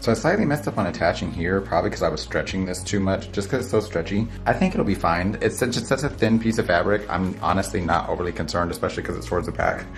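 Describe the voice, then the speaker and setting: A man with a very deep, low voice talks at a very fast pace with hardly any pauses and very wide pitch swings. Music plays in the background. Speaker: hairstylist. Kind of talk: tutorial. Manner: casual, conversational.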